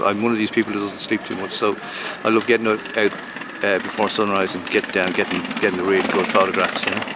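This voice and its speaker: A man's fairly low, flat, monotone voice over noticeable background noise. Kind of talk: interview answer. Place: street.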